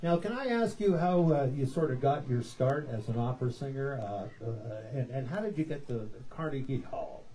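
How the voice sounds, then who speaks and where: With a Canadian accent, a man of medium pitch talks at a moderate pace with lively intonation, audible room echo and music in the background. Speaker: talk show host. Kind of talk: live talk show interview. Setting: outdoor stage with lawn chair audience. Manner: casual, off the cuff.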